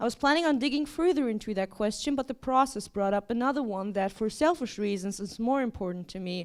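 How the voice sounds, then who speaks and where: A woman with a non-native accent and fairly high pitch, talking at a very fast pace with lively intonation and hardly any pauses. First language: not English. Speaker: artist and writer. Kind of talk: performative lecture reading a text; casual intro remarks. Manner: casual, filler-heavy.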